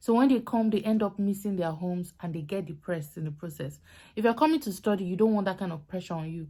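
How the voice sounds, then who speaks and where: A woman with a Nigerian accent speaks at a very fast pace in a dark, mellow tone. Her pitch variation is ordinary, and the recording is very clean, with a silent background. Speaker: YouTuber, student vlogger. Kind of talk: casual vlog advice talk.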